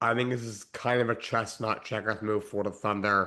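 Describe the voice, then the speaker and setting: Against a quiet background, a man speaks at a fairly slow pace. His intonation is monotone and flat. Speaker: sports podcast host. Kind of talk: casual sports commentary podcast.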